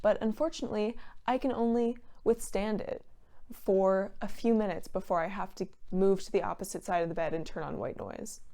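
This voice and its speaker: A woman speaks quietly at a moderate pace, her medium-pitched voice dark and mellow with lively intonation. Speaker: vlogger. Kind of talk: casual vlog monologue. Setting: at home. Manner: quieter.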